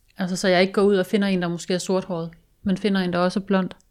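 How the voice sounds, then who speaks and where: A woman talks at a very fast pace with a medium pitch. The recording is very clean, with a silent background. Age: 30s. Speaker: guest sharing personal story. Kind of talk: casual chat. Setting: studio.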